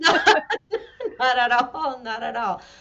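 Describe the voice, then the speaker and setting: The speech comes in a Spanish accent. Its pace is fairly slow. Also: woman. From Venezuela. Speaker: fractional CFO, business owner. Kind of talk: interview. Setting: live stream.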